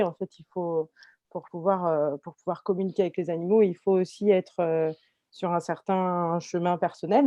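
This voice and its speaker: A woman's medium-pitched voice, dark and mellow in tone, at a moderate pace, with a dry, close sound and no echo. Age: 30s. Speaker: animal communication trainee giving testimony. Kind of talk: testimony in a webinar. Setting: webinar video call. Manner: halting, many fillers and repetitions.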